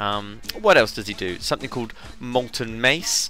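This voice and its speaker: Music plays in the background behind a man with a fairly low voice. His intonation is lively. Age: 20s. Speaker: video game guide maker. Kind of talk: casual game walkthrough commentary. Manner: light-hearted.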